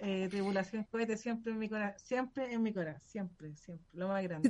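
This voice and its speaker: She speaks with a Chilean accent. Her pitch variation is ordinary. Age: 40s. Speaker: radio show guest. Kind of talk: casual chat.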